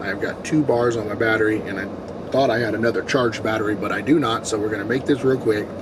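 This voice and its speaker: With noticeable background noise behind him, a man rushes through his words very quickly. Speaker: gaming YouTuber. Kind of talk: casual vlog talk to camera.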